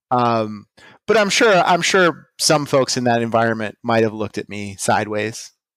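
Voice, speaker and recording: A man with an ordinary speaking voice and an American accent, medium in pitch, at a moderate pace, on a very clean recording with a silent background. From Pittsburgh area, Pennsylvania. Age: 30s. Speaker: vintage clothing dealer. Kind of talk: casual interview. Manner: many fillers and restarts.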